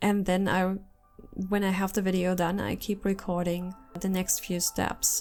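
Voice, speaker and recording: A woman speaks at a medium pitch with a slight German accent. Music plays in the background. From Germany. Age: 30s. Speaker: artist and content creator. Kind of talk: casual chat while drawing. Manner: mumbling at times; rambling, digressive.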